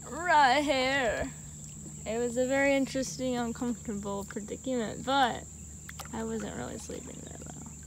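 Noticeable background noise is present in a dry sound with no echo. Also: moderate pace. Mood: amused, relaxed. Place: boat. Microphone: phone near.

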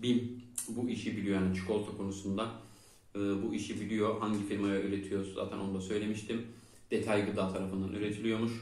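Over audible room echo, a man talks at a fairly quick pace in a fairly low, monotone voice with flat intonation. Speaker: food review channel host. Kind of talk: product review vlog. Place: home room.

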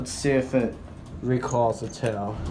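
Delivered at a slow pace, the voice has a slightly mellow tone and audible room echo. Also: man.

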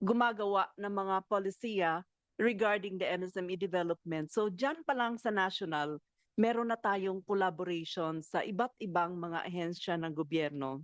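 Delivered at a fairly slow pace with ordinary pitch variation, the voice has a dry, close sound with no echo and a quiet background. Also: woman. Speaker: government official. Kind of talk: formal briefing. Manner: formal.

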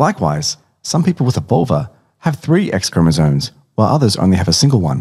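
The speech is very fast and somewhat breathy. Its pitch swings very widely. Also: man. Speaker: narrator. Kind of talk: science explainer narration. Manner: casual, humorous.

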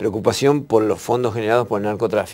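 With a slightly mellow tone, a man speaks at a fairly low pitch and uses ordinary pitch variation.

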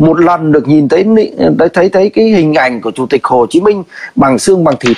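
This man speaks with very wide pitch swings. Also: quiet background. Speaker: livestream commentator. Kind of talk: heated debate. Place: home room. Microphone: phone near.

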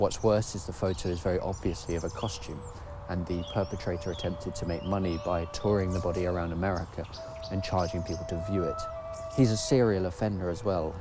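Clear music plays in the background as a man talks at a very fast pace, in a dry sound with no echo. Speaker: video essay host. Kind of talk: scripted commentary. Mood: dry, sardonic.

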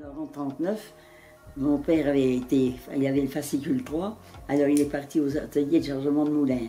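A woman with a very deep, low pitch speaks at a moderate pace and fairly even intonation, with faint music in the background. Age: 80s+. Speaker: former wartime Resistance member. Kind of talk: interview answer. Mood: moved, grave recollection. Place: home room.

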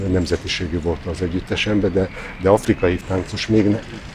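The man's pitch is fairly low. Noticeable background noise runs behind him. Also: dry sound with no echo. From Vojvodina, Serbia (Hungarian minority). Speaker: choreographer. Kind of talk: interview. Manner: halting, many repetitions and fillers. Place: garden.

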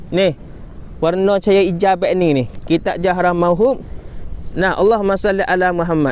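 The loudness stays very even throughout. The sound is dry, with no echo. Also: man, high pitch for a man, fairly even intonation, moderate pace. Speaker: Islamic religious teacher; religious teacher. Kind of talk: religious lecture. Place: beach. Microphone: equipment issue, replaced; lapel.

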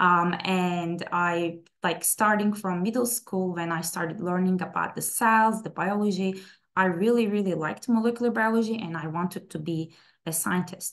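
A woman with a Turkish accent, a medium pitch and fairly even intonation. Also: moderate pace. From Istanbul, Turkey; Turkey. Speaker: plant scientist; presenter. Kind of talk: webinar talk. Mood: personal, warm storytelling. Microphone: webcam.

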